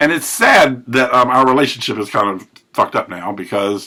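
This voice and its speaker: This man's voice has a bright, sharp tone with vocal fry. He talks at a moderate pace. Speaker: recovery vlogger. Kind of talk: personal monologue. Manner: halting.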